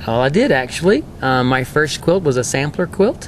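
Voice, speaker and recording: A man with a Texas accent at a moderate pace and fairly high pitch, over noticeable background noise. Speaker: quilter and quilting teacher. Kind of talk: interview.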